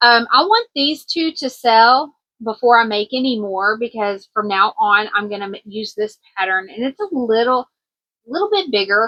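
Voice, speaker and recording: Woman in a Kentucky accent, moderate pace and ordinary pitch variation. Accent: country twang, Kentucky. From US South, Kentucky. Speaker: crochet vlogger and small business owner. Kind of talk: casual vlog, inventory walkthrough. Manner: casual, filler-heavy with self-corrections.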